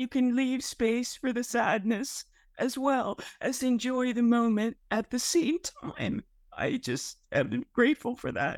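With a high pitch and ordinary pitch variation, a woman speaks at a very slow pace in a dry, close sound with no echo. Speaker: cancer patient. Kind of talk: support group sharing. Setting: video call.

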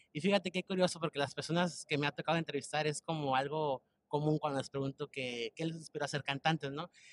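Talking at a very fast pace, a man uses a fairly high pitch with ordinary pitch variation. The sound is dry and close, with no echo. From Mexico, Michoacán. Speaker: podcast host. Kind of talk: casual interview.

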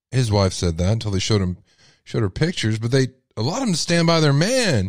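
A man with a Texas accent, fairly quick in pace, with very wide pitch swings. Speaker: radio host. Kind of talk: live call-in radio show. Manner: animated.

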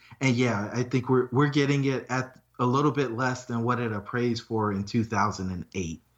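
A man with an American accent talks at a moderate pace with hardly any pauses, at medium pitch with ordinary pitch variation. It is an ordinary speaking voice. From North Carolina, Fayetteville. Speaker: real estate investor and engineer. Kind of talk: interview.

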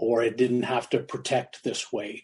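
Very slow, somewhat breathy speech with a dark, mellow tone. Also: man. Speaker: goalie mask artist. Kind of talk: casual interview.

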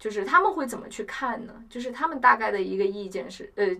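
A woman with a fairly high pitch talks at a fairly quick pace while noticeable background noise carries on. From China, Chongqing. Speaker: university student. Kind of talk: casual chat.

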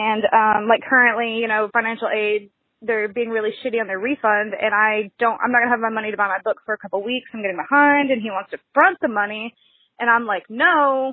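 A woman talks at a fairly quick pace and a fairly high pitch. She has an unremarkable speaking voice with ordinary pitch variation. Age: 20s. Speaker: caller. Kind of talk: voicemail.

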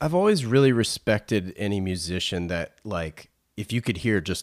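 A man with a normal speaking voice talks at a moderate pace, his fairly low pitch showing ordinary variation, in a dry, close sound with no echo. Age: 40s. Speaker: podcast host. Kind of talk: casual interview chat; scripted narration. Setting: video call.

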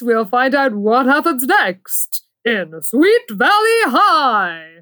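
A female-sounding, put-on character voice, high in pitch for a woman, moves at a very slow pace with very wide pitch swings. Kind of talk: old-timey announcer voice. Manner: put-on announcer delivery.

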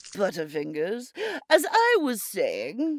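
The speaker uses a put-on character voice at a fairly high pitch. The delivery is fairly slow. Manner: cautious, cunning, doting.

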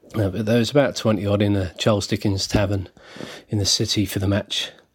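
A man's fairly low voice in a southern English accent at a fairly quick pace. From southern England, Berkshire. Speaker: football supporters club secretary. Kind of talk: pre-recorded fan story, read aloud.

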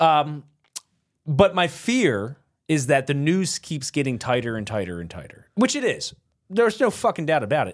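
In a very clean recording with a silent background, a man speaks at a moderate pace and fairly high pitch, with big swings in loudness and very wide pitch swings. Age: 50s. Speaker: podcast co-host. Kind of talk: casual chat.

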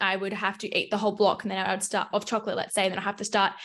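A woman speaks with an Australian accent at a medium pitch. The background is quiet. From Melbourne, Australia. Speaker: fitness coach. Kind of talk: casual chat.

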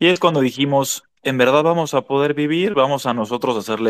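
Using a normal speaking voice, a man talks at a fairly quick pace with ordinary pitch variation. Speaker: son of a former prisoner. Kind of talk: online panel interview.

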